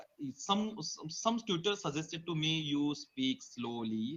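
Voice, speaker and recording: A fairly high-pitched man with an Indian accent and lively intonation. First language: Marathi or Hindi. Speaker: teacher practicing English. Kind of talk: casual chat. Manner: halting.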